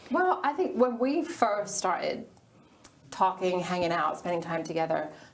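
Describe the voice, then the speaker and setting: A woman with an American accent and a medium pitch speaks over noticeable background noise. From England. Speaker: interview guest. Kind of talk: casual interview. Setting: studio.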